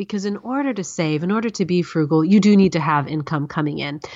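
This woman has a fairly low pitch and speaks with ordinary pitch variation. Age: 30s. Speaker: author and personal finance blogger. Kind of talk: interview. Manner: articulate.

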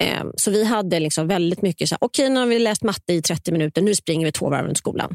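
A woman with a fairly low pitch talks at a very fast pace with hardly any pauses, her intonation lively and her loudness very even, in a dry, close sound with no echo. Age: 50s. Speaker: novelist, former teacher. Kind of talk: interview.

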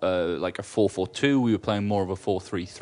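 At a moderate pace, a man talks with a fairly low pitch in an unremarkable speaking voice. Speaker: football fan co-presenter. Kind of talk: casual banter about football.

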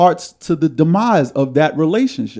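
This man's tone is dark and mellow. He uses lively intonation. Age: 30s. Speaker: podcast host. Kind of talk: casual chat. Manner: confident.

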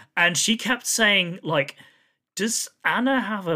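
This man speaks with a British accent in a raised, projected voice. His pitch is high and his tone bright and sharp. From UK. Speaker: film podcast host. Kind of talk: casual chat.

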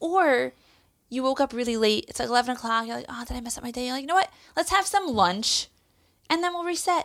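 A woman with an American accent speaks at a very fast pace and a high pitch. Her pitch swings very widely and her loudness swings a lot. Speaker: podcast guest, immigrant to Israel. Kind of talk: casual chat. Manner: quick and witty.

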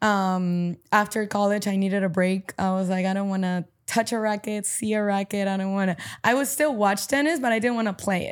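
In a very clean recording with a silent background, a woman of medium pitch speaks in a normal speaking voice at a moderate pace with ordinary pitch variation. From Paraguay (Asunción), moved to US at 14. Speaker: padel player, former college tennis player. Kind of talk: casual interview. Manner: casual, filler-heavy (um, like, you know).

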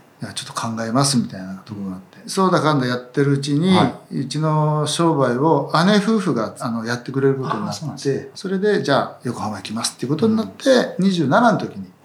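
With hardly any pauses, the speaker's pitch swings very widely and loudness rises and falls sharply, over noticeable background noise. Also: man, fairly high pitch for a man, fairly quick pace. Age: 60s. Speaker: veteran tennis coach. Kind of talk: casual interview conversation.

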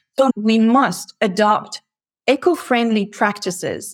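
A woman with a French accent and ordinary pitch variation. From France, near Paris. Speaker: logistics executive. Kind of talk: interview.

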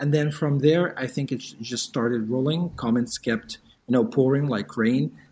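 A man's somewhat breathy voice at a medium pitch, with a dark, mellow tone, ordinary pitch variation and a moderate pace. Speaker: language teacher and YouTuber. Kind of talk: casual interview.

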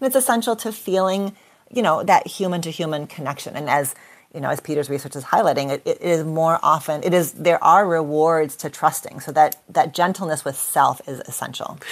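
A woman with a plain, everyday voice, pitched fairly low. She talks at a fairly quick pace with lively intonation. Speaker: clinical psychologist. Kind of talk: interview discussion.

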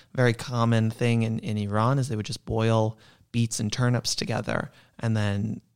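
In a very clean recording with a silent background, a man with an American accent uses a normal speaking voice at medium pitch with fairly even intonation. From New York, Queens. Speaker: chef and cookbook writer. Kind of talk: casual interview.

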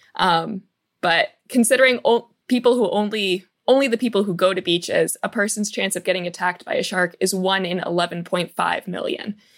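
At a fairly quick pace, a woman with a normal speaking voice talks at a medium pitch with ordinary pitch variation. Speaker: show researcher. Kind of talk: presenting researched facts.

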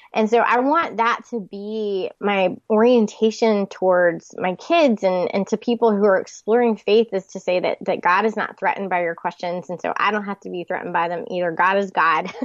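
A woman with an unremarkable speaking voice and an American accent, medium pitch, ordinary pitch variation, a moderate pace with hardly any pauses, and a dry, close sound with no echo over a quiet background. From US South, Charlotte, North Carolina. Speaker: author and pastor's wife. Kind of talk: interview.

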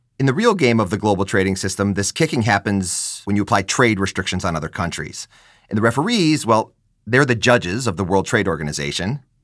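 A fairly low-pitched man at a very fast pace with lively intonation, in a very clean recording with a silent background. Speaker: podcast co-host, trade economist. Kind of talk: podcast discussion.

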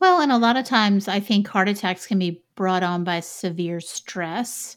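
A woman speaks at a medium pitch with ordinary pitch variation. Hers is a plain, everyday voice. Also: very clean recording, silent background. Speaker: podcast host. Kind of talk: casual podcast chat.

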